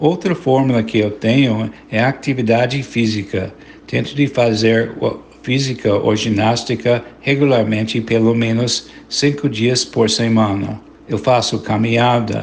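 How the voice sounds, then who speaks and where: A man speaks with an American accent at a very slow pace. His pitch is medium and his intonation fairly even. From United States. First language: English (speaking Portuguese). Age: 70s. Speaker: journalist and mental health activist. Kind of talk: testimony.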